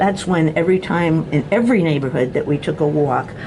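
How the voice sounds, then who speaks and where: Noticeable background noise under a woman's very deep, low voice. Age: 70s. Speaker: channel owner, self-described harassment target. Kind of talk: video monologue.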